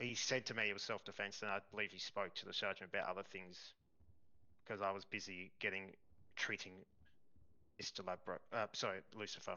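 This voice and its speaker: In an Australian accent, a man with a fairly low pitch speaks in a flat monotone, leaving long, frequent pauses. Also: fairly quick pace. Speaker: police officer in roleplay. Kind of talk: roleplay courtroom testimony. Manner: halting.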